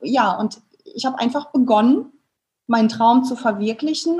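At a moderate pace, a woman speaks at a fairly high pitch. Her tone is dark and mellow. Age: 30s. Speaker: family photographer. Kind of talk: interview.

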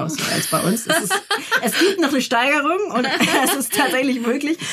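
In a plain, everyday voice, a woman speaks at a fairly quick pace with lively intonation. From northern Germany, Lübeck. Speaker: journalist and parenting blogger. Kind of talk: interview.

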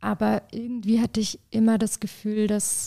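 A woman speaks at a moderate pace. The sound is dry and close with no echo, a very clean recording with a silent background. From southern Germany. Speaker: artist and art director. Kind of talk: interview. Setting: in person.

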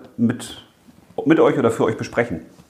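This man talks at a fairly quick pace. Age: 40s. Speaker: children's author and podcast host. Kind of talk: casual chat. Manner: animated.

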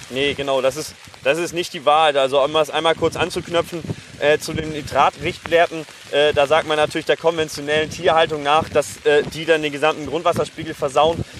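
Over noticeable background noise, a man with a fairly high pitch talks at a fairly quick pace in a flat, monotone way. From Germany, Hassel. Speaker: farmer and agricultural scientist. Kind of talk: interview. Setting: outdoors. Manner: halting.

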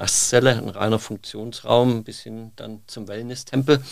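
At a moderate pace, a man with a plain, everyday voice talks in a fairly low pitch with fairly even intonation. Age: 50s. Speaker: bathroom industry trend scout. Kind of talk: interview. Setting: studio. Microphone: occasional sound problems.

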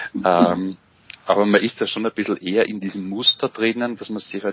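Intonation stays monotone and flat. The man moves along at a fairly quick pace. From Austria, Mühlviertel (Upper Austria). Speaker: psychology lecturer and father. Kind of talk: interview. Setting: video call. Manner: halting, many fillers.

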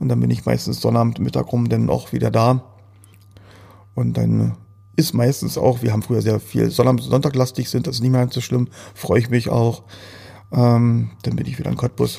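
A man's fairly low voice with a dark, mellow tone, very wide pitch swings, a moderate pace and long, frequent pauses. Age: 40s. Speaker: entrepreneur. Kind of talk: interview. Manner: halting.

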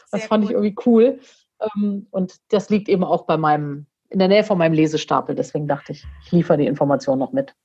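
A woman with a dark, mellow tone and medium pitch talks at a very fast pace with lively intonation. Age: 40s. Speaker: coach and motivational speaker. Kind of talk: podcast interview.

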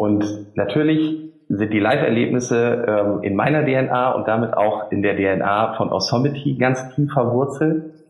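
A man speaks fairly slowly with hardly any pauses and ordinary pitch variation. Noticeable background noise and audible room echo come through. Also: medium pitch for a man, very even loudness. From Emsland, northern Germany. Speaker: marketing agency founder. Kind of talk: interview. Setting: remote call from office.

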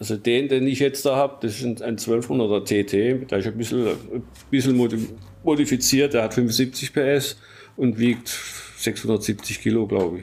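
Here a man talks at a fairly slow pace. His medium pitch follows fairly even intonation. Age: 60s. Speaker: hobby vehicle builder. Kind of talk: interview. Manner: halting, with many repetitions.

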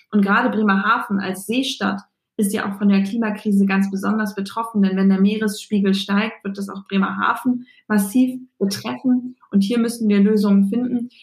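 Her voice is somewhat breathy, a woman's at medium pitch. She keeps a moderate pace and fairly even intonation. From Bremen, northern Germany. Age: 20s. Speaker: politician. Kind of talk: interview.

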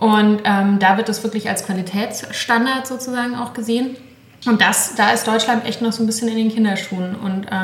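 Over noticeable background noise and audible room echo, a woman speaks at a fairly quick pace with a fairly high pitch and fairly even intonation. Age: 40s. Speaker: podcast host, cookbook author. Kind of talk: casual interview chat. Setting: home kitchen.

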